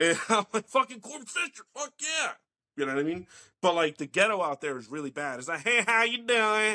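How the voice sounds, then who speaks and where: With a slight New Jersey accent, a man speaks in a raised, projected voice that is high-pitched, bright and sharp. His pitch swings very widely and his loudness rises and falls sharply, all in a dry, close sound with no echo. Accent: light New Jersey. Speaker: podcast host. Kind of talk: casual chat.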